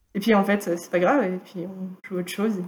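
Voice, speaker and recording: A woman talks at a moderate pace in a dark, mellow tone that is somewhat breathy. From northern France, Valenciennes. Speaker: student and amateur improviser. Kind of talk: casual interview.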